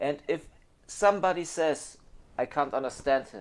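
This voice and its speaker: This is a man speaking. He has a German accent. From Germany. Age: 30s. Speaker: phone repair technician. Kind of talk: monologue to camera. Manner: halting.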